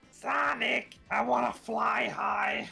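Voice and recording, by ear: A man performs a raspy, put-on character voice. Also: medium pitch for a man.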